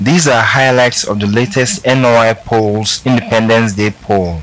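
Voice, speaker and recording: A man at medium pitch speaks over noticeable background noise. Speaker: poll reporter. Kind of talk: news reading.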